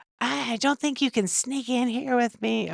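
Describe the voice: A female-sounding voice puts on a character voice. The pitch sits high. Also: moderate pace.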